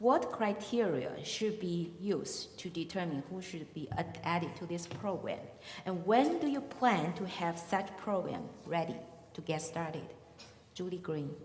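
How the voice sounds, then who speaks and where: A woman with a Chinese accent speaks at a fairly slow pace in a fairly low pitch. Noticeable background noise and audible room echo surround her voice. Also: ordinary pitch variation. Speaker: forum moderator. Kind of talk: moderating questions. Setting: public forum with audience.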